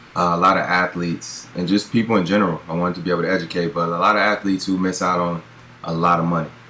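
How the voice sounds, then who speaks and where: Over noticeable background noise, a man with an American accent and a very deep, low pitch talks at a very fast pace. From US West Coast, Pasadena, California. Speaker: former pro football player turned financial advisor. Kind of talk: interview.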